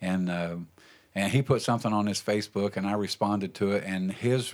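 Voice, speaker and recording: In a normal speaking voice, a man talks at a fairly quick pace with a fairly low pitch and fairly even intonation, recorded very cleanly against a silent background. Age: 60s. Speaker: pastor and podcast host. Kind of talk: casual chat. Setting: studio.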